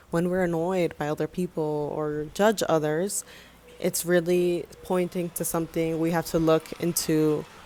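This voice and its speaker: Someone with a Spanish accent speaks at a fairly slow pace in a very clean recording with a silent background. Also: woman. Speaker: filmmaker and vlogger. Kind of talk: personal video essay.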